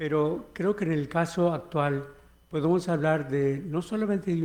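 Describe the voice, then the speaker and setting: A man's dark, mellow tone at a fairly slow pace. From United States, Mexican-American. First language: English (speaking Spanish). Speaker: history professor. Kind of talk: keynote lecture. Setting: conference hall with audience. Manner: halting, with fillers.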